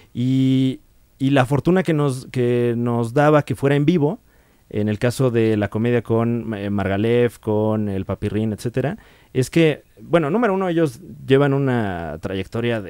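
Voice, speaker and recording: A man speaks at a fairly slow pace with lively intonation and a dark, mellow tone. The sound is dry with no echo, over a quiet background. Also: medium pitch for a man. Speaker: podcast guest, comedian. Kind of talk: casual chat, podcast interview about comedy. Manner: conversational, laid-back, with frequent fillers and laughs. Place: studio. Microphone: studio mic.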